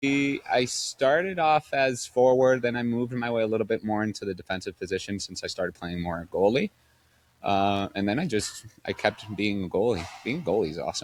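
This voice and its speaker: In a Spanish accent, a man of medium pitch speaks at a fairly quick pace with lively intonation. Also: very clean recording, silent background. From Spain, Madrid. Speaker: padel director at a sports club. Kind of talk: podcast interview.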